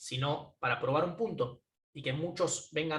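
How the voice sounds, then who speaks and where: A man's fairly high voice, bright and sharp in tone. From Argentina, Buenos Aires (Caballito). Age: 20s. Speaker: tech entrepreneur. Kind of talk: conference talk. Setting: video call from home. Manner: hesitant fillers.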